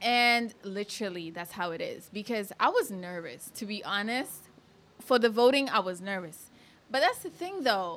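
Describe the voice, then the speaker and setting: At a moderate pace, the speaker talks in an animated tone with lively intonation and big swings in loudness. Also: woman, fairly high pitch for a woman. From Kenya (Thika), moved to US at 11. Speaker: beauty pageant titleholder. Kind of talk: casual chat.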